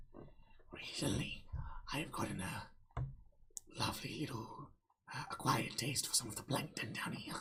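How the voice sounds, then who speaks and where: Whispering in a put-on character voice, the speaker moves at a moderate pace with long, frequent pauses. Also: man. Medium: actual play.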